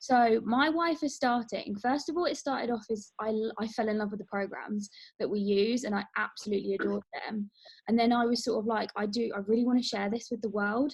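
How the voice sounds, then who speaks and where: This woman has a southern English accent. Her fairly high voice is somewhat breathy. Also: ordinary pitch variation, fairly quick pace. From England, near London. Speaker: wellness coach. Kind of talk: casual group introduction on a call.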